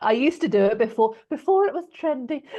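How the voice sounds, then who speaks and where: A loud woman's voice. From West Country, England. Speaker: business mentor. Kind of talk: podcast interview. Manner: loud laugh.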